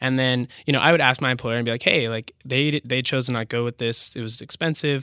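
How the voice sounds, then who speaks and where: Here a man with a West Coast accent talks at a fairly quick pace in a bright, sharp tone. His intonation is monotone and flat, and the sound is dry and close with no echo. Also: medium pitch for a man, hardly any pauses. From Washington State, Bellevue. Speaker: business founder. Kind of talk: interview.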